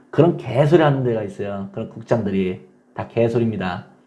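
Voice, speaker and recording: A somewhat breathy male voice carries along at a moderate pace. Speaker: online divorce-help community manager. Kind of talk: casual vlog talk to viewers.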